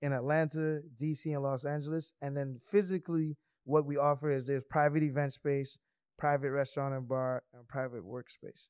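A man with a fairly high pitch talks at a moderate pace and with fairly even intonation, though his loudness swings a lot. The sound is dry and close with no echo, in a very clean recording over a silent background. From US Virgin Islands, St. Croix. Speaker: entrepreneur. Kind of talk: casual chat.

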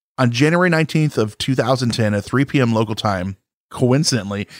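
A man talks in an ordinary speaking voice at medium pitch with ordinary pitch variation. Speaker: podcast co-host. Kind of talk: casual chat.

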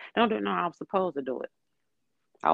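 A woman at a very fast pace. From Detroit, Michigan. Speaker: podcast guest. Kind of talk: casual chat.

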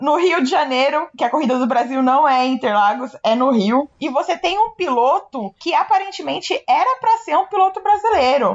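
A woman speaks with hardly any pauses, very wide pitch swings and very even loudness, over noticeable background noise. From Brazil. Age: 20s. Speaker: podcast co-host. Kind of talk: casual chat.

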